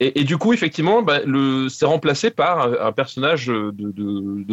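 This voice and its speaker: A man speaks at a medium pitch. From French provinces. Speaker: film author and podcaster. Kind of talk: casual chat. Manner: halting.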